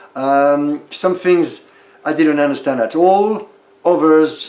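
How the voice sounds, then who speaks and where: There is noticeable background noise. A man speaks with a French accent. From France. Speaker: stage actor. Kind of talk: casual interview. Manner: hesitant, many fillers.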